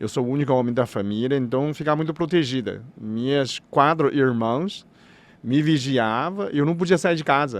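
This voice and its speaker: A man speaks at a moderate pace with a fairly high pitch and ordinary pitch variation. The background is quiet. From China. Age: 60s. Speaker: doctor of Chinese medicine. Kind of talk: podcast interview. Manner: halting.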